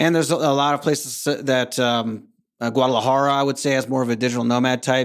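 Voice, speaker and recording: Delivered at a very fast pace in an American accent, the speech has monotone, flat intonation. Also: man. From North Carolina, US. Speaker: expat consultant and podcaster. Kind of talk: casual interview. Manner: hesitant, many fillers.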